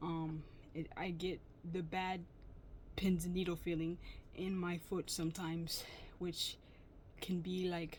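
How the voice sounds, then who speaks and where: Fairly low in pitch and somewhat breathy, a woman speaks at a fairly slow pace with monotone, flat intonation and long, frequent pauses. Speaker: vlogger. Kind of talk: personal vlog testimony. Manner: breathing weird and talking weird; audible mouth sounds.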